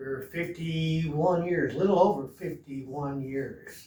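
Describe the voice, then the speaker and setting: The delivery is very slow, with fairly even intonation and a dark, mellow tone. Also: man. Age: 70s. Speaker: bodybuilding enthusiast. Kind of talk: casual talk to camera.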